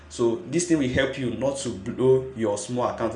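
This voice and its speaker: Intonation stays fairly even as a man speaks. Audible room echo and noticeable background noise surround him. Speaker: forex trading youtuber. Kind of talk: tutorial.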